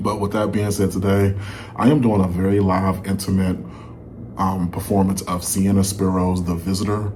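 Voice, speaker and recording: In a room with audible echo and noticeable background noise, a man speaks at a moderate pace with a fairly low pitch and monotone, flat intonation. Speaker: music reaction YouTuber. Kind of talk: casual vlog commentary. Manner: slightly slurred, dragging words.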